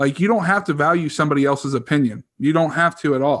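Here is a plain, everyday voice at a fairly quick pace. Its pitch varies in an ordinary way. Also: man. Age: 30s. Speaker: podcast co-host. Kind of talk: casual chat.

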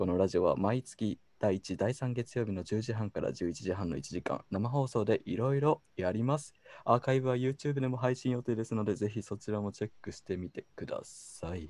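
A man talks at a moderate pace in a dark, mellow tone at medium pitch, with a dry, close sound with no echo. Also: ordinary pitch variation. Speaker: radio show co-host. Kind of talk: casual chat. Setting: video call. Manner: animated.

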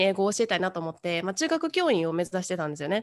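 A woman speaks over a quiet background. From Kyoto, Japan. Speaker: English teacher working abroad. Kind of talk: casual chat.

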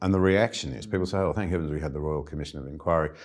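In an Australian accent, a man talks at a very fast pace on a very clean recording with a silent background. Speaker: interviewer, former politician. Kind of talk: interview. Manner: halting.

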